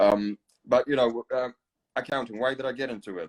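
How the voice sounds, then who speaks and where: With a Polish accent, a man speaks at a fairly quick pace and fairly even intonation, in a dry, close sound with no echo. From Poland. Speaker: podcast host. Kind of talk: casual chat. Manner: halting, many fillers.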